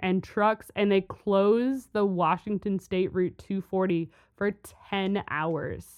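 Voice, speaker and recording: At a very slow pace, a woman talks in a medium pitch. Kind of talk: casual chat. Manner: chatty, enthusiastic, hesitant.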